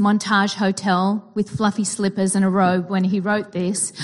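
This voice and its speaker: With an Australian accent, a woman speaks at a moderate pace in a somewhat breathy, medium-pitched voice with fairly even intonation against a quiet background. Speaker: psychology teacher and therapist. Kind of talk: sermon.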